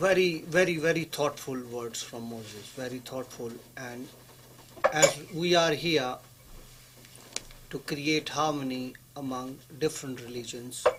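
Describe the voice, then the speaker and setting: A man's fairly high voice, fairly slow with long, frequent pauses, ordinary pitch variation, big swings in loudness, and noticeable background noise. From Pakistan. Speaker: law graduate, interfaith panelist. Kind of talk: panel discussion. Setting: studio.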